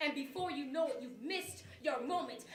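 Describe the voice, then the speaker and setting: A woman raises and projects her voice at a moderate pace. Her tone is bright and sharp. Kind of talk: spoken word poetry performance. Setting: live performance before an audience. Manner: rhythmic, preaching.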